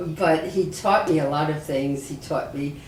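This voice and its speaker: Over noticeable background noise and audible room echo, a woman with an American accent speaks at a moderate pace in a very deep, low pitch. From New York City. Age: 80s+. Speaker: rabbi. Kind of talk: oral history interview.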